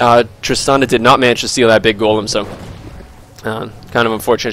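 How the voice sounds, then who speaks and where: A man talks fairly quickly at a medium pitch while noticeable background noise runs underneath. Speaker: gaming commentator. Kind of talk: esports game commentary. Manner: casual, talkative.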